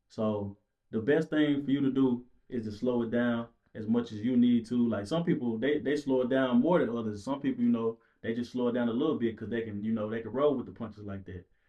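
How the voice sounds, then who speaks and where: A man talks fairly quickly in a normal speaking voice. His pitch is medium and varies in an ordinary way. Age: 20s. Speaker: podcast guest. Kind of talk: casual chat.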